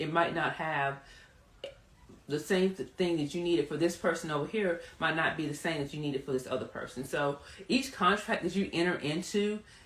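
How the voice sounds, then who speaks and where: Through noticeable background noise, a woman with an American accent speaks at a fairly low pitch with ordinary pitch variation. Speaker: trademark attorney hosting a live Q&A. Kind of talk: live Q&A stream. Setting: livestream. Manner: fast.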